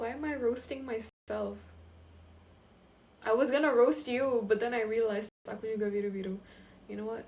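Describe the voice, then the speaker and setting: At a moderate pace, a woman speaks in a fairly high pitch with fairly even intonation. Long, frequent pauses and big swings in loudness mark her delivery. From Indonesia. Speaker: TikTok live streamer. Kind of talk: casual live stream chat.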